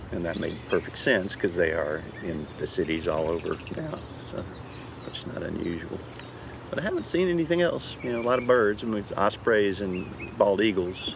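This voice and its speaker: Against noticeable background noise, a fairly low-pitched man with an American accent talks at a moderate pace, his pitch swinging very widely. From northern Louisiana, Shreveport. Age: 60s. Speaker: park ranger. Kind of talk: interview. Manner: halting, with frequent fillers and repeats.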